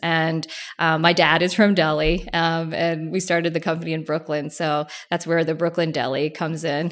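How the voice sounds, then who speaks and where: Here a woman speaks with an American accent. Her pitch sits fairly low. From New Jersey. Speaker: food brand founder. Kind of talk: interview.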